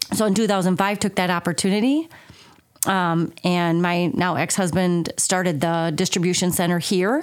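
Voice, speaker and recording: A woman's medium-pitched voice with an American accent, an unremarkable speaking voice, a moderate pace, very even loudness and fairly even intonation. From southern Minnesota. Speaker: chamber of commerce executive director. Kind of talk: interview conversation.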